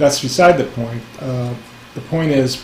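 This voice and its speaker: With an American accent, a man talks at a fairly slow pace amid noticeable background noise and audible room echo. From US West Coast (San Francisco Bay Area). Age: 60s. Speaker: spiritual teacher. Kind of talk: casual talk. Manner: halting, many fillers.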